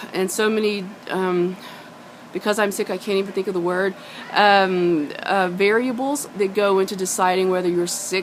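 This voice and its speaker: Over noticeable background noise, a woman speaks at a fairly slow pace, with medium pitch and fairly even intonation. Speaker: singer and performer. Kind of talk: casual talk to camera. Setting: outdoors behind a pub.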